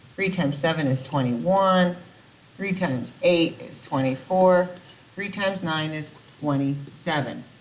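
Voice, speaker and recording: Audible room echo hangs around a woman's voice. She talks at a fairly slow pace with ordinary pitch variation. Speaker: math teacher. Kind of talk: recorded video lesson. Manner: casual.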